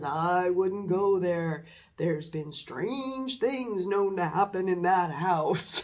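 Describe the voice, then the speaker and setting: Put-on character voice at middle pitch and a very slow pace. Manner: ominous, warning.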